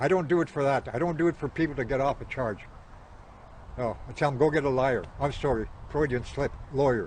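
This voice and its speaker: Somewhat breathy and fairly high-pitched, a man talks at a fairly quick pace with ordinary pitch variation, breaking often into long pauses. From Canadian prairies, Cree territory. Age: 70s. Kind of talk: interview.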